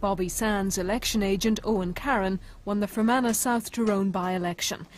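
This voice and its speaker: A woman speaks fairly quickly in a somewhat breathy voice. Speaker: documentary narrator. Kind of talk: documentary narration, scripted. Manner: measured, grave, even.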